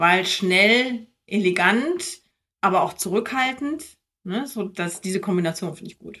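Speaking at a fairly slow pace, a woman with a medium pitch and a bright, sharp tone uses lively intonation and big swings in loudness. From Germany, near Minden (East Westphalia). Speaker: investment entrepreneur. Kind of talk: interview conversation.

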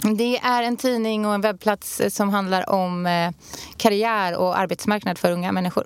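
A woman with an ordinary speaking voice, medium pitch, fairly even intonation and a moderate pace. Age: 30s. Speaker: podcast co-host. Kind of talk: casual chat.

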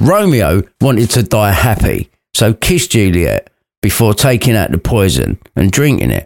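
Speaking at a moderate pace with a British accent, a man uses a fairly low pitch with very wide swings, vocal fry and very even loudness, in a dry, close sound with no echo. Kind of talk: fairy-tale story narration, irreverent retelling read aloud. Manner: lively, cheeky with crude asides.

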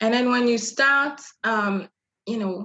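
At a moderate pace, a woman with a French accent speaks with fairly even intonation. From Republic of the Congo (Brazzaville). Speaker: image and style consultant. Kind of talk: interview.

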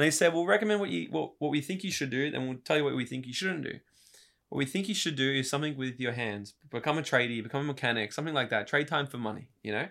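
In a very clean recording with a silent background, a man with an Australian accent talks at a very fast pace, his fairly high voice bright and sharp in tone with lively intonation. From Queensland, Australia (Brisbane, Gold Coast). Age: 30s. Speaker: motivational speaker. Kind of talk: casual chat.

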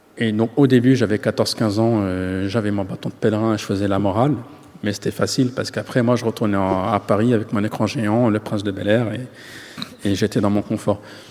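Against noticeable background noise, a man with a fairly low pitch speaks at a moderate pace in a monotone, flat manner. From France, Yvelines housing estate. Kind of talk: interview.

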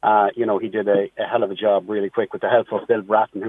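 A very fast, fairly low-pitched man's voice in an American accent. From Ireland (County Meath). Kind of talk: radio interview. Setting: phone call.

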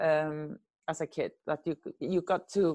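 A woman speaks with an Icelandic accent. The background is quiet. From Iceland, Reykjavik. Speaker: film editor. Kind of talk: interview.

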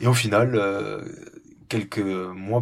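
With a slight southwestern French accent, this voice comes through on a very clean recording with a silent background. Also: man. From southwest France, rural. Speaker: ornithologist. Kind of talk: interview. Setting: small wooden hut above penguin colony, Antarctica. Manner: halting, many repetitions.

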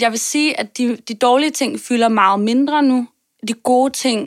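A woman talks in a high voice at a fairly slow pace with fairly even intonation. The sound is dry and close, with no echo. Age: 20s. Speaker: podcast guest, marketer and performer. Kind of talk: interview about personal health. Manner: hesitant, many fillers.

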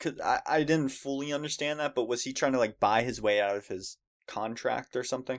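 On a very clean recording with a silent background, a man with an American accent speaks in a plain, everyday voice at medium pitch with ordinary pitch variation. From United States. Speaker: podcast co-host. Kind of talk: casual chat.

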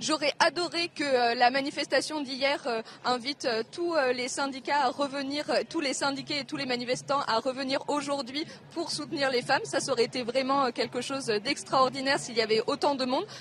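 Ordinary pitch variation from a woman's high voice, noticeable background noise underneath. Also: moderate pace. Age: young. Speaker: primary school teacher. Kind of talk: live interview. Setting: outdoor street demonstration.

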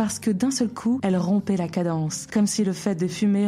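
Moderate pace and ordinary pitch variation from a woman, noticeable background noise behind her. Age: 30s. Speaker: podcast host. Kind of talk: scripted monologue.

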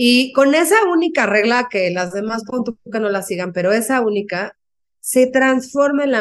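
In a plain, everyday voice, the speaker goes at a fairly slow pace with lively intonation. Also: woman. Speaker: author and speaker. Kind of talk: interview.

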